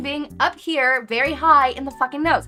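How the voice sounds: A woman's put-on character voice, nasal and high-pitched, at a moderate pace with faint music in the background.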